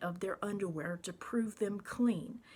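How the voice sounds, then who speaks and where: Somewhat breathy, a woman speaks at a fairly slow pace with medium pitch and ordinary pitch variation. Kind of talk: rant to camera, reading own comment aloud.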